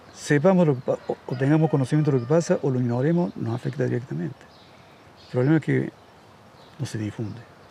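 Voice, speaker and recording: A man at medium pitch talks at a very fast pace with ordinary pitch variation and long, frequent pauses. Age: 70s. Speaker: radio host. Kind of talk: casual chat.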